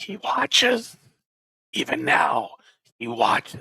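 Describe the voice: Raspy and whispering, this put-on character voice moves at a fairly slow pace.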